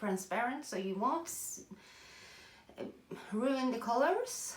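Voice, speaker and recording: Noticeable background noise and audible room echo surround a woman whose high voice swings very widely in pitch. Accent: Norwegian. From Norway. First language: Norwegian. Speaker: artist. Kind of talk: tutorial. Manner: halting.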